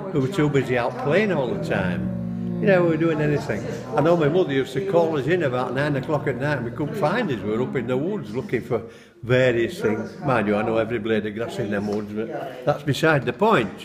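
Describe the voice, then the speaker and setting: Lively intonation and a fairly quick pace come through in a Yorkshire accent. Noticeable background noise and audible room echo fill the recording. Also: man, medium pitch for a man. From Bradford, West Yorkshire, England. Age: 70s. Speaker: local resident, history group member. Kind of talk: reminiscence interview.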